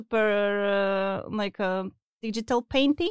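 Dry and close with no echo, the recording captures a woman with a non-native accent, her fairly high pitch showing ordinary variation. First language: not English. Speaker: UI artist for video games. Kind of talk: casual interview. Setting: studio. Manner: halting, many fillers.

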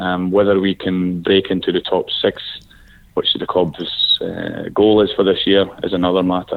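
Speaking at a moderate pace, a man talks with a Scottish accent. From Scotland. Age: 30s. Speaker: football coach, former player. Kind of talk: interview. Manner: hesitant, many fillers.

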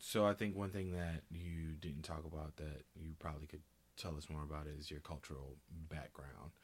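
At a moderate pace, a man with a very deep, low pitch speaks with fairly even intonation. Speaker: podcast co-host, video editor. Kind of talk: casual chat.

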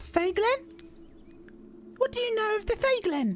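An extremely high pitch marks this put-on character voice, delivered at a moderate pace. Clear background noise is present.

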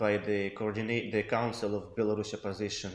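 A man speaks in a Russian accent. His pace is moderate. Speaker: independent researcher. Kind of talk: interview.

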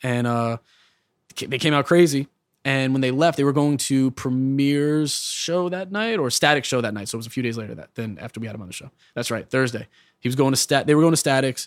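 In a New York accent, a man of medium pitch talks at a fairly quick pace, with ordinary pitch variation and big swings in loudness. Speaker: hip hop producer and rapper. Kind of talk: casual interview. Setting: studio.

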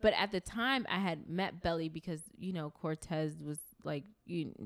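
In a New York accent, the speaker is heard on a very clean recording with a silent background. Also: woman. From Brooklyn, New York (East New York). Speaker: music industry executive. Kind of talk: casual interview. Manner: animated.

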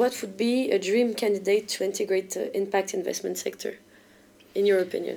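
This woman speaks with a French accent. Her tone is dark and mellow, and her intonation fairly even. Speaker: podcast host. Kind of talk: interview.

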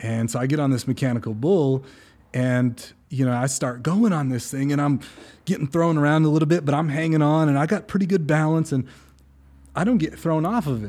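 In an American accent and a dark, mellow tone, the speaker goes at a fairly quick pace with ordinary pitch variation, on a very clean recording with a silent background. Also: man, fairly high pitch for a man. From California, Central Coast. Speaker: running coach and athlete. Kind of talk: casual chat.

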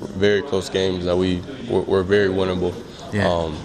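A man with a very deep, low pitch speaks at a moderate pace in a flat monotone, over noticeable background noise. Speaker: football player. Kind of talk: interview answers after practice.

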